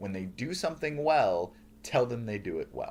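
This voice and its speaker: Loud and at medium pitch, a man speaks with very wide pitch swings. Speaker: professor, leadership course teacher. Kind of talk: lecture. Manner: hesitant fillers.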